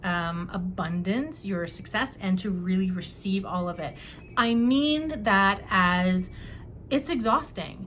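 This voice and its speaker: Lively intonation from a woman at a medium pitch, very slow in pace, with audible room echo. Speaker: tarot reader. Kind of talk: tarot reading to camera. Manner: halting, many fillers.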